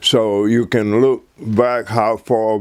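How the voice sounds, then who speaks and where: Over noticeable background noise, a man with an American accent speaks very slowly at a medium pitch, his intonation monotone and flat. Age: 80s+. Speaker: war veteran. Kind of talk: testimony. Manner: halting.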